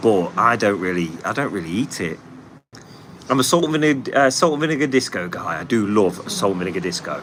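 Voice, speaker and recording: Against noticeable background noise, a man talks at a very fast pace in a fairly low pitch, with very wide pitch swings. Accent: Nottingham. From England, Nottingham. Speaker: paving contractor and livestream host. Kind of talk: casual livestream chat reading comments. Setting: live stream.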